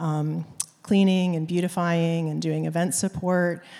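Flat, monotone delivery comes from a woman with a fairly low, dark and mellow voice at a moderate pace. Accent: American. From Maine, US. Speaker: downtown nonprofit executive director. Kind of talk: onstage interview. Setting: church stage with audience.

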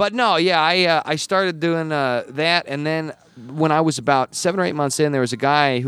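Talking at a fairly quick pace with an American accent, a man has an ordinary speaking voice and ordinary pitch variation. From Wyoming, US. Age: 30s. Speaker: comedian. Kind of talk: casual chat. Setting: comedy club showroom.

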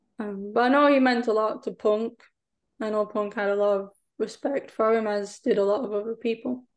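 A woman speaks with an English accent. Her pace is fairly quick and her intonation fairly even. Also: fairly high pitch for a woman. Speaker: wrestling podcast guest. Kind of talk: casual chat.

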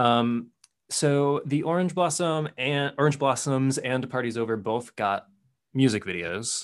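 Speaking in a normal speaking voice with an American accent, a man talks at a fairly slow pace and medium pitch, with ordinary pitch variation over a quiet background. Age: 20s. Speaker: podcast host and English teacher. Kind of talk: interview.

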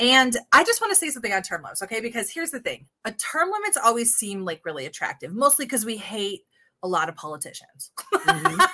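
A woman's fairly high, bright, sharp voice at a very fast pace, with vocal fry, big swings in loudness and very wide pitch swings. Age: 40s. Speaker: political podcast co-host. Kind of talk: casual political discussion; show outro.

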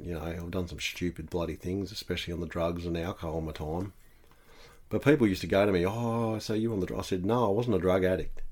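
At a very fast pace, a man with a very deep, low voice and an Australian accent speaks with ordinary pitch variation. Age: 30s. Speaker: house painter. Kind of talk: casual chat.

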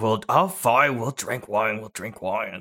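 Using a rumbling put-on character voice at medium pitch, a man speaks fairly slowly with lively intonation. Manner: grumbling, grudging.

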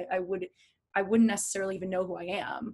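Monotone and flat in intonation, a woman with an American accent speaks at a medium pitch. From New Jersey, New York. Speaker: podcast guest; entrepreneur, former teacher.

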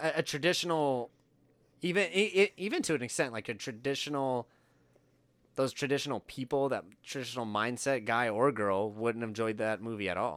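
A man talks at a fairly quick pace with lively intonation in a normal speaking voice. The recording is very clean, with a silent background. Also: medium pitch for a man. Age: 30s. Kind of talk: casual chat. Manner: casual, joking.

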